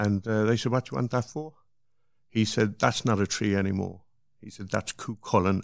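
In a very clean recording with a silent background, a man with a Cork accent speaks at a fairly low pitch with ordinary pitch variation. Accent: Cork Irish. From Cork, Ireland. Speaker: artist's brother. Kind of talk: interview storytelling.

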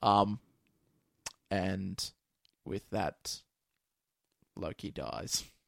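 The man's voice is fairly low in pitch and shows vocal fry. The sound is dry and close, with no echo. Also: ordinary pitch variation. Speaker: podcast host. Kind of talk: casual chat about a movie.

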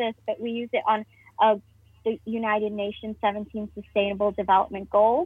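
A woman at a fairly high pitch, with monotone, flat intonation and a moderate pace. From Nigeria, Lagos, then Hong Kong. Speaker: primary school teacher. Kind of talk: podcast interview.

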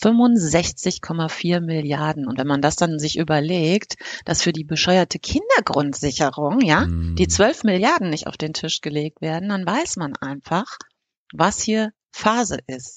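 Speaking at a very slow pace, a woman with a fairly low voice uses lively intonation. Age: 50s. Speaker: podcast co-host. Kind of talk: casual chat.

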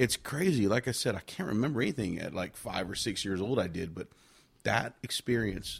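A man talks at a fairly quick pace with an American accent and fairly low pitch. He has an ordinary speaking voice. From Victoria, Texas. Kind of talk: testimony.

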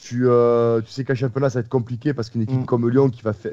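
A man talks at a medium pitch. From Marseille, southern France. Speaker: football podcast host. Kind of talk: casual chat.

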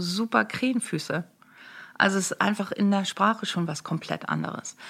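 In an ordinary speaking voice, a woman of medium pitch speaks at a moderate pace with fairly even intonation, recorded very cleanly against a silent background. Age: 50s. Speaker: make-up artist and beauty coach. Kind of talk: casual interview.

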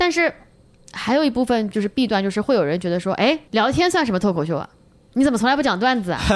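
A woman's fairly high voice, very fast, with very wide pitch swings. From China. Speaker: stand-up comedian. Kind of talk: casual chat.

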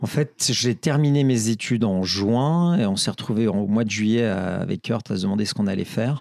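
On a very clean recording with a silent background, a man of medium pitch talks at a moderate pace with hardly any pauses, very even loudness and ordinary pitch variation. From France, Ardèche plateau. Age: 50s. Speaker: brewery founder, entrepreneur. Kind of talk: interview. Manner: halting, many repetitions.

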